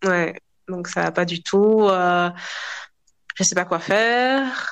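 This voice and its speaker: A woman speaks very slowly at a medium pitch, with fairly even intonation, against a quiet background. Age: 30s. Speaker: public administration employee. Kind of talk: interview testimony.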